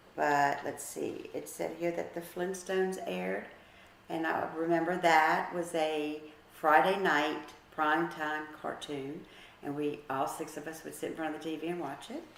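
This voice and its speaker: A woman with a very deep, low voice speaks at a moderate pace amid noticeable background noise and audible room echo. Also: ordinary pitch variation. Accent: American. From US South, New Orleans (Metairie). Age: 60s. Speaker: grandmother interviewed about her childhood. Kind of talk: casual family interview, reminiscing. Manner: conversational, with hesitations.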